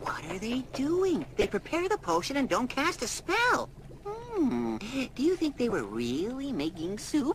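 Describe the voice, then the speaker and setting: A cartoonish character voice, female-sounding and high-pitched, moves at a fairly slow pace over clear background noise. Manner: easygoing, wisecracking.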